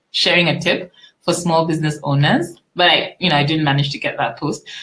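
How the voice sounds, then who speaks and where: A woman's fairly low voice at a fairly quick pace. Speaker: business coach. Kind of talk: webinar. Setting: live online webinar. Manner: fast.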